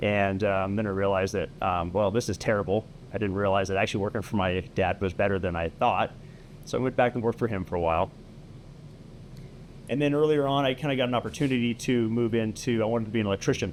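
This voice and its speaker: With an American accent, a man talks very fast in a fairly low pitch and with ordinary pitch variation. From California. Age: 40s. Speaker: lighting supply business owner. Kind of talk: podcast interview.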